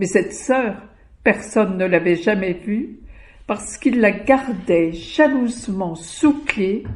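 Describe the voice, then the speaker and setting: A woman speaks at a very slow pace with a fairly high pitch. Her somewhat breathy voice shows ordinary pitch variation. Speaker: storyteller. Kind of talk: folk tale storytelling.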